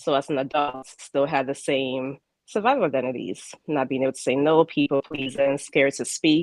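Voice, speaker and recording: Speaking with a Ghanaian accent, a woman has a very deep, low pitch and ordinary pitch variation at a moderate pace. The sound is dry and close with no echo. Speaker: spiritual life coach. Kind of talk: interview. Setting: live broadcast. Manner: halting.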